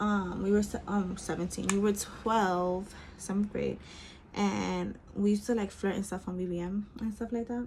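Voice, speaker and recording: A woman speaks at a moderate pace in a somewhat breathy, medium-pitched voice with monotone, flat intonation. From Bronx, New York. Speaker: beauty vlogger. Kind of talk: casual storytime while doing makeup. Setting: at home. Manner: chatty, casual.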